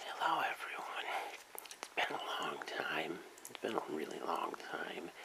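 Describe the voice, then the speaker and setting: Whispering at a fairly slow pace. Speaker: ASMR video creator and convention-goer. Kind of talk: ASMR soft-spoken talk to camera. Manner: soft-spoken. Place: home room. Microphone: camera far.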